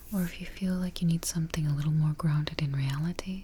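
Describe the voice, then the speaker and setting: A woman's calm, soothing tone in a very deep, low pitch. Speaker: ASMR artist playing a sleep expert. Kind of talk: ASMR sleep roleplay with guided relaxation. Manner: soft-spoken, calm, slow, soothing.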